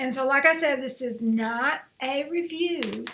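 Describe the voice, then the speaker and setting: A woman's high-pitched voice over light background noise. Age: 60s. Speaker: lifestyle vlogger; home vlogger. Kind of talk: unboxing and try-on vlog. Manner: casual, rambling with fillers. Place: home room. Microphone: webcam.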